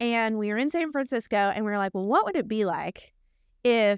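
Recorded dry and close with no echo against a very clean, silent background, a woman with a slight Texan accent talks at a fairly quick pace in a medium-pitched voice with ordinary pitch variation. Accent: Texan twang, slight. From small town in Texas. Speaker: architect and research team director. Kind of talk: casual interview chat.

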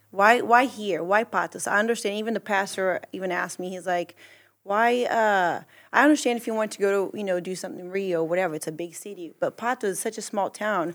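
A woman talks at a very fast pace, her loudness swinging widely. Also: medium pitch for a woman, ordinary pitch variation. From Brazil. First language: Portuguese. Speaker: church mission trip member and translator. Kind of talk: casual chat.

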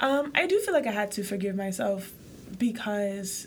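Speaking at a fairly slow pace, a woman uses a fairly high pitch with an American accent. Her voice is somewhat breathy. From Haiti, raised in the US from a young age. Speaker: podcast co-host. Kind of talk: casual chat.

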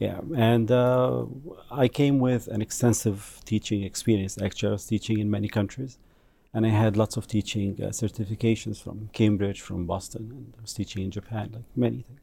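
A man with an Egyptian accent, fairly low in pitch and somewhat breathy, at a moderate pace, with ordinary pitch variation and big swings in loudness. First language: Arabic. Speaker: language instructor.

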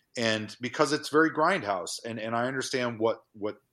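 A normal speaking voice at a moderate pace, on a very clean recording with a silent background. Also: man. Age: 40s. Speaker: horror filmmaker. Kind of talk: casual chat.

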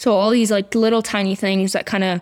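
A woman talks at a moderate pace with a medium pitch and fairly even intonation. The recording is very clean, with a silent background. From US Northeast, Hudson Valley New York. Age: 20s. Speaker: EMT, bereaved family member. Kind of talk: interview testimony.

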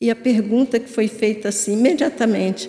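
The voice moves at a moderate pace, dark and mellow in tone and somewhat breathy. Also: woman. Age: 70s. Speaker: spiritist lecturer. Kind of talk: religious talk.

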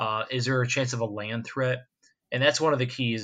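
Against a quiet background, a man with an American accent and an ordinary speaking voice talks at a moderate pace, medium in pitch with fairly even intonation. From west coast of Florida. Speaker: hurricane forecaster. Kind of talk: interview.

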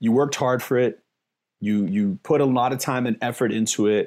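On a very clean recording with a silent background, a man with a New York accent talks at medium pitch with ordinary pitch variation. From New York City, the Bronx. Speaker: investing educator, former DJ. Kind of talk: interview.

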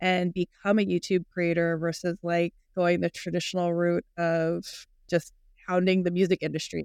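A woman with an American accent speaks in an ordinary speaking voice. The sound is dry and close with no echo. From US, Filipino American. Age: 40s. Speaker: podcast host. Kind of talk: casual interview chat.

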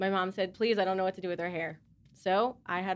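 A woman's normal speaking voice, medium in pitch, fairly quick and fairly even in intonation, in a very clean recording with a silent background. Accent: American. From US South, Charlotte. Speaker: mother. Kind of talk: casual group discussion.

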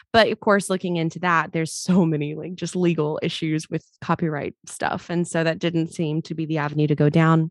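A woman with an American accent speaks at a fairly quick pace and a fairly low pitch, with hardly any pauses. The sound is dry and close, with no echo. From US South, Mobile, Alabama. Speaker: singer and shop owner. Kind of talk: interview. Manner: animated.

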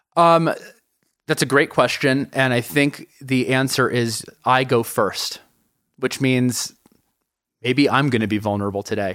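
Speaking with an American accent, a man at medium pitch goes at a fairly slow pace, with ordinary pitch variation and long, frequent pauses. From US Northeast, New York City. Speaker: tech company founder and CEO. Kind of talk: interview. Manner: hesitant, many fillers and repeats.

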